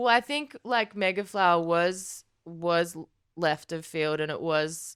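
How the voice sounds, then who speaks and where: Over a silent background in a very clean recording, a woman with an Australian accent talks at a very slow pace, her fairly low voice showing ordinary pitch variation. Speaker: rock musician. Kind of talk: casual interview.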